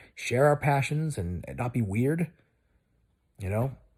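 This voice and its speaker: In a very clean recording with a silent background, a man speaks in a relaxed tone that is somewhat breathy. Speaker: video blogger. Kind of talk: casual monologue. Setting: lying in bed. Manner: rambling, loose; relaxed, lying down.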